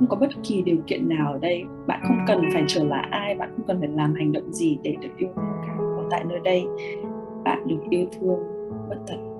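A fairly quick pace over loud music in the background. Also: woman. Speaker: meditation and mirror-work guide, live host. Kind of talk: guided meditation / self-love mirror work, live stream. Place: home room. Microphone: webcam.

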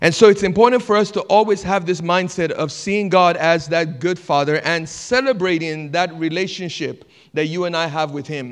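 Against a quiet background, a man talks at a moderate pace with hardly any pauses. His pitch is high, with ordinary variation. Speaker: pastor. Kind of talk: sermon. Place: church. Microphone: handheld.

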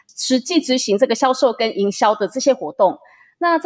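A woman at a fairly quick pace with very wide pitch swings, in a dry, close sound with no echo. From Taiwan. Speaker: interpreter and business group manager. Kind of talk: interview, interpreting.

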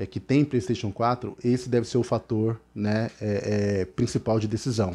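The man speaks at a fairly slow pace. His tone is dark and mellow. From Brazil. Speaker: gaming youtuber. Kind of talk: casual explainer video; casual vlog chat. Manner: halting, filler-heavy. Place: home room. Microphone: headset.

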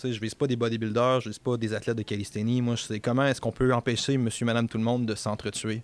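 In a dry recording with no echo, a man talks at a very fast pace in a monotone, flat intonation. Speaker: podcast guest. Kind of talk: interview answer. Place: office. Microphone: studio mic.

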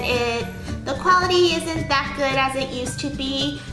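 A woman with a high pitch talks at a moderate pace in a raised, projected voice, with clear music in the background. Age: 20s. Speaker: youtuber; vlogger. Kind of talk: unboxing vlog; casual vlog chat. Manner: animated. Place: home room.

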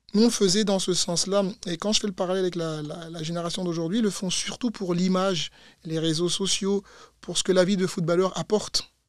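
The man's voice is high-pitched, with fairly even intonation at a fairly quick pace. The sound is dry with no echo, over a quiet background. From Belgium, Brussels. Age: 30s. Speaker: former footballer and fitness coach; fitness coach. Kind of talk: interview. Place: studio. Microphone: studio mic.

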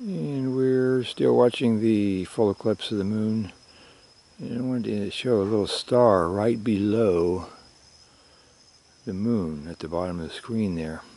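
A soft-spoken man talks with ordinary pitch variation and long, frequent pauses. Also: fairly low pitch for a man, dry sound with no echo. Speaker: publisher and editor. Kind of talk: ASMR nature commentary. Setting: outdoors. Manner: soft-spoken, slow. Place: open country.

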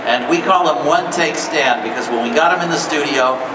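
Behind a man's talking, there is noticeable background noise. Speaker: panel host or producer. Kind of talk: panel talk. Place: hall. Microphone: pa.

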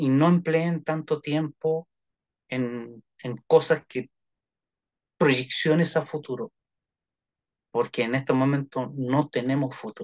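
Man speaking very slowly with long, frequent pauses and fairly even intonation, quiet background. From Chile. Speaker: therapist; guest. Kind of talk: interview. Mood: warm, advising, smiling. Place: home room. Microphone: video call.

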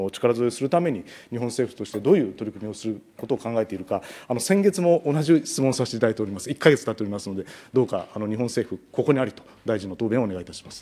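Speaking at a very fast pace, a man uses lively intonation. His tone is dark and mellow. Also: medium pitch for a man, big swings in loudness. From Japan. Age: 40s. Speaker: national legislator. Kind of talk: parliamentary questioning. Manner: formal. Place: meeting room. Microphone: podium.

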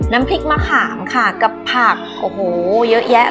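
Clear music plays behind a woman as she talks. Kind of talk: food review vlog. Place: cafe.

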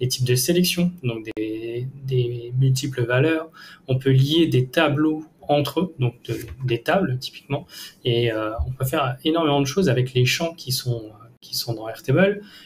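A somewhat breathy male voice at a fairly slow pace, ordinary pitch variation, light background noise. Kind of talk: tutorial. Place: home room.

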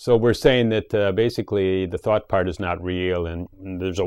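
Very deep, low pitch from a man at a moderate pace, dry with no echo and a quiet background. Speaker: show host. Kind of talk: reflective monologue on a talk show. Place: home room. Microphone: lapel.

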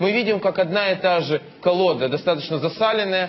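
There is noticeable background noise as a man with a high pitch speaks with ordinary pitch variation. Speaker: politician. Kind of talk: heated debate.

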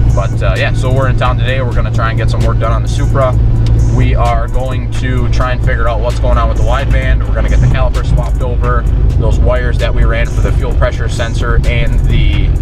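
Loud music plays behind a man speaking at a very fast pace. His voice sounds dry, with no echo. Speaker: car hobbyist vlogger. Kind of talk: casual vlog chat. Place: car. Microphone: phone near.

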